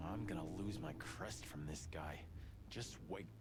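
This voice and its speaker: Through loud background noise, a man does a put-on character voice at a moderate pace. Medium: game stream. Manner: blunt, hot-tempered.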